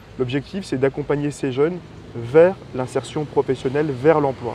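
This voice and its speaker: With ordinary pitch variation and a fairly high pitch, a man talks at a moderate pace. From northern France, Roubaix area. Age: 20s. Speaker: political candidate. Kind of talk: interview. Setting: outdoors in a park. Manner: hesitant, many fillers.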